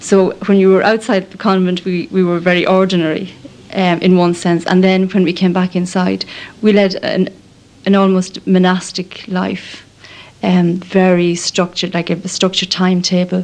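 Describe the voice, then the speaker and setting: Speaking with an Irish accent, a woman keeps a medium pitch and a monotone, flat intonation. Her pace is moderate, and there is noticeable background noise. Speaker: nun. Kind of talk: radio documentary interview. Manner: hesitant, many fillers.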